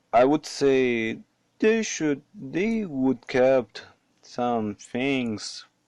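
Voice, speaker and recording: A man speaks with a non-native accent and lively intonation. The sound is dry and close with no echo, over a quiet background. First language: not English. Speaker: 3D modeling hobbyist. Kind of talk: screen-recorded software tutorial talk. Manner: hesitant, casual.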